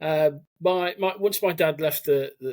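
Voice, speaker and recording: A man is speaking. He has a slight Birmingham accent. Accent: slight Brummie twang. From English Midlands, Cannock, Staffordshire. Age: 40s. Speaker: army veteran. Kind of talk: podcast interview.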